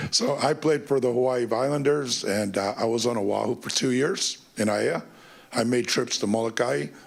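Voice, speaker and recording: Ordinary pitch variation and a moderate pace from an unremarkable speaking voice. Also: man, medium pitch for a man. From California. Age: 60s. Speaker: youth sports business owner. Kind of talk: public testimony at council meeting. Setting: council committee meeting.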